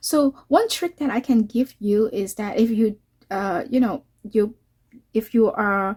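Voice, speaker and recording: In a very clean recording with a silent background, a woman with a Cantonese accent talks at a fairly slow pace, her fairly high voice showing ordinary pitch variation. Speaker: watercolor artist and YouTuber. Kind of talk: tutorial. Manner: halting, many fillers.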